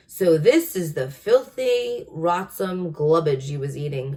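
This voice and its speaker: Loud and booming, a woman does a put-on character voice with a fairly low pitch at a fairly slow pace. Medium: read story. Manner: loud, blustering, ungrammatical giant-speak.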